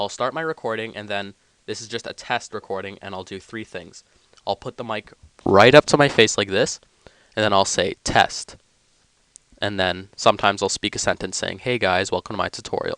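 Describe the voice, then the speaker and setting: Fairly quick pace, big swings in loudness and ordinary pitch variation, in a dry, close sound with no echo and a quiet background. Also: man, fairly low pitch for a man. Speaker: YouTube tutorial maker. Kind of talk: casual monologue about making tutorials. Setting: home basement.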